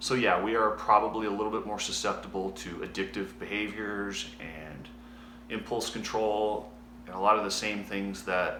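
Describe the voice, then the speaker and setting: A man's fairly low, bright and sharp voice at a fairly slow pace, with audible room echo. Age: 40s. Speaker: former motocross racer. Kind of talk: personal video diary. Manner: halting.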